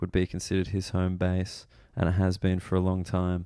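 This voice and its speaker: Very deep and low, a man's voice carries a dark, mellow tone with flat, monotone intonation at a fairly quick pace. He is quiet, and the recording is very clean with a silent background. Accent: Australian. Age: 20s. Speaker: comedian. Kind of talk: podcast intro monologue. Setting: waiting for a train late at night.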